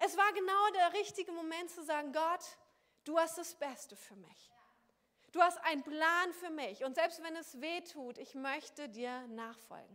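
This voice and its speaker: Her voice is extremely high, with a bright, sharp tone and ordinary pitch variation. The woman's loudness swings a lot. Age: 30s. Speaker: pastor. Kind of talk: sermon.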